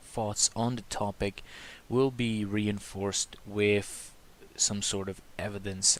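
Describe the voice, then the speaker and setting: A man's fairly low voice with a non-native accent and fairly even intonation, at a very slow pace. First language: not English. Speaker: YouTuber discussing religion and social issues. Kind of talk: opinion monologue. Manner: hesitant, with fillers.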